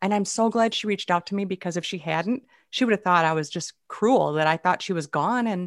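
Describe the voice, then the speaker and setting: Against a quiet background, a woman with an American accent talks at a fairly quick pace. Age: 50s. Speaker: humorist and speaker. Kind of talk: casual interview chat. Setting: video call. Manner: animated.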